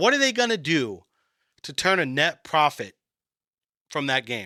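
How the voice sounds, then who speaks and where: A man speaks at a fairly slow pace in an animated tone with vocal fry, very wide pitch swings and a bright, sharp tone, recorded very cleanly with a silent background and a dry, close sound with no echo. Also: big swings in loudness. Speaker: gaming streamer. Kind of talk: live stream commentary. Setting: live stream. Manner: quiet, lowered volume; animated, halting with restarts.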